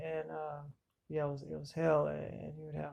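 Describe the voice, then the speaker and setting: Speaking at a fairly quick pace, the man holds a monotone, flat intonation. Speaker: self-described victim of electronic harassment. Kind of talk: personal testimony to camera. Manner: halting, many fillers.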